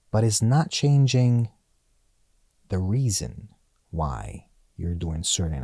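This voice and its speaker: A man speaks at a very slow pace, his voice somewhat breathy. His pitch swings very widely. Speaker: actor. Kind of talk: casual chat. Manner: halting.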